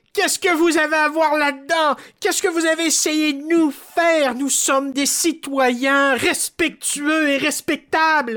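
Using a put-on character voice, the speaker talks at a high pitch with hardly any pauses. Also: moderate pace. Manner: pompous, indignant.

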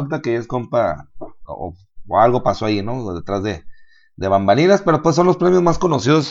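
At a fairly quick pace, a man with a Mexican accent speaks with very wide pitch swings. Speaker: podcast co-host. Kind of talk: casual chat.

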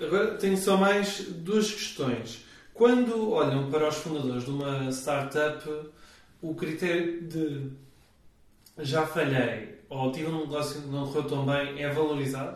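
In a European Portuguese accent, the speaker talks at a fairly slow pace with ordinary pitch variation, over noticeable background noise and audible room echo. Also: man, fairly high pitch for a man. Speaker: podcast host. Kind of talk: scripted intro; interview.

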